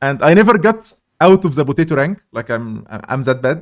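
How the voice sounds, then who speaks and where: A man's fairly high-pitched voice with lively intonation. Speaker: indie game developer and teacher. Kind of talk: casual chat.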